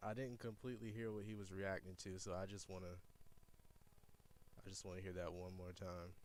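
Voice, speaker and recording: Delivery comes at a fairly quick pace, broken by long, frequent pauses, with monotone, flat intonation. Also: man, very deep, low pitch for a man. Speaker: streamer reacting to recorded phone calls. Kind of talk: live stream commentary. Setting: live stream.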